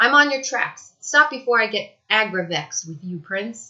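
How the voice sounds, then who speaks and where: A woman's put-on character voice, wheezy and fairly high-pitched, with lively intonation at a moderate pace. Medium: read story.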